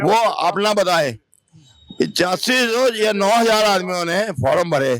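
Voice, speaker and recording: A man with a high-pitched voice and lively intonation. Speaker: retired transport worker, protester. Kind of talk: street interview at protest. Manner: agitated.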